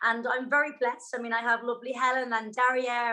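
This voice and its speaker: Speaking with an Irish accent, a woman has a high pitch and a bright, sharp tone. She talks at a fairly quick pace. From Ireland. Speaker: yoga and fitness instructor. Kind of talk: interview. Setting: video call.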